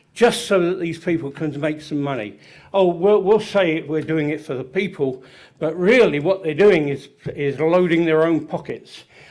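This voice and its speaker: A man with an English accent, high-pitched, at a moderate pace. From England, London. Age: 70s. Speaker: public commenter. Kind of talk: public comment at hearing. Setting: public meeting. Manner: halting.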